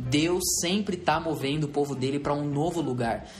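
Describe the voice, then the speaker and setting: The man's voice shows ordinary pitch variation, heard with audible room echo and noticeable background noise. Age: 20s. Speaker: pastor and podcast host. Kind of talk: casual chat.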